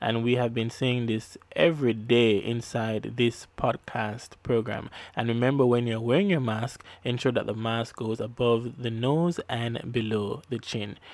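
A speaker talks at a fairly slow pace with a Jamaican accent. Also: man, medium pitch for a man. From Jamaica (Kingston). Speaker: podcast host and producer. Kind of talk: devotional radio-style podcast hosting. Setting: studio. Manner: upbeat.

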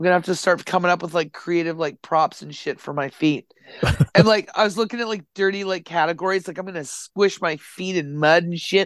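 Against a quiet background, a woman with an ordinary speaking voice talks at a fairly quick pace in a fairly low pitch, her loudness swinging widely. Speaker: guest sharing life updates. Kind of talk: casual chat. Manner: casual, profane, joking.

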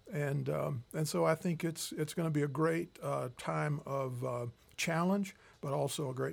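On a very clean recording with a silent background, a man speaks somewhat breathily at medium pitch with lively intonation. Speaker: professor and bishop. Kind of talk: interview.

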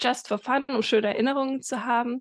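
Over a quiet background, a woman speaks at a moderate pace. Her intonation stays monotone and flat. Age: 20s. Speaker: entrepreneur and business mentor. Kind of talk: interview.

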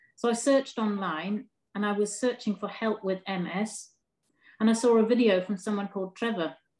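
In an English accent, a woman speaks at a medium pitch and moderate pace with fairly even intonation. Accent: English, noticeable to a foreign listener. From northeast England. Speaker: primary school teacher with MS. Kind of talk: casual interview.

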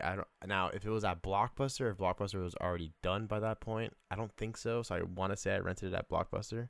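In a very clean recording with a silent background, a man with a plain, everyday voice speaks at a fairly quick pace and a fairly low pitch. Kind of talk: heated argument. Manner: loud, rapid-fire, indignant, defending his pick.

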